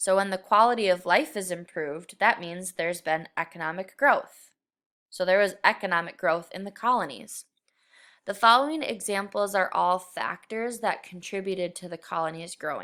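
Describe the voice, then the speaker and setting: Her bright, sharp tone marks this woman's voice, which shows big swings in loudness. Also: medium pitch for a woman, ordinary pitch variation, moderate pace, very clean recording, silent background. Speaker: middle school teacher. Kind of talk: recorded lesson. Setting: screen recording.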